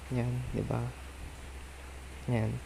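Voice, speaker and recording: Noticeable background noise sits under this man's voice. He speaks at a very slow pace with lively intonation. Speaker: video editing tutorial creator. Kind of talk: tutorial. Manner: casual, conversational.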